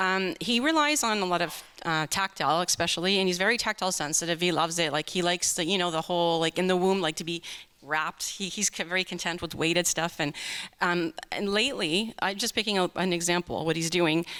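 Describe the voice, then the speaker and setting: This woman talks very fast with a Canadian accent and a bright, sharp tone. Her pitch is fairly low, and the sound is dry and close with no echo. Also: ordinary pitch variation. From Canada, Greater Toronto Area. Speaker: parent asking a question at a conference. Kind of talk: audience question.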